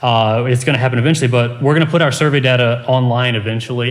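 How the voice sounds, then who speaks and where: A man's very fast, medium-pitched delivery with fairly even intonation and audible room echo. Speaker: composition professor presenting research. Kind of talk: conference presentation.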